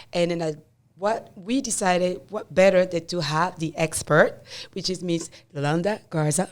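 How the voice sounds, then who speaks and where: A woman speaks at a moderate pace with fairly low pitch. Her pitch varies in an ordinary way. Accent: non-native. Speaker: real estate broker, podcast host. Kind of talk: casual podcast chat.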